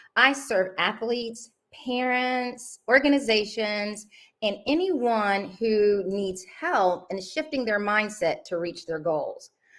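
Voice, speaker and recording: A woman speaks at a very slow pace with a fairly high pitch. Her intonation is lively. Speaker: mindset and confidence coach. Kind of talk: podcast host introduction.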